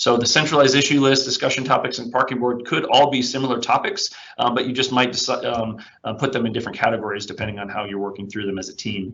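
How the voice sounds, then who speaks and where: A man talks at a very fast pace and medium pitch with fairly even intonation, with audible room echo and noticeable background noise. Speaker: IT consultant presenting a webinar. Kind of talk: webinar presentation and software demo. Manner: frequent fillers (um, uh).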